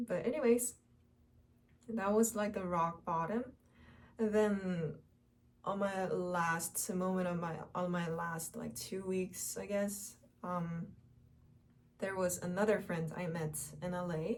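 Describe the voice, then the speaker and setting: Very slowly and with long, frequent pauses, a woman with a Korean accent speaks at medium pitch, somewhat breathy, with ordinary pitch variation. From South Korea. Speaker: Korean language teacher and vlogger. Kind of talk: casual personal vlog. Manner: halting, many fillers.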